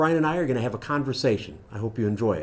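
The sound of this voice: A man speaks at a very fast pace with lively intonation, a medium pitch and a slightly mellow tone.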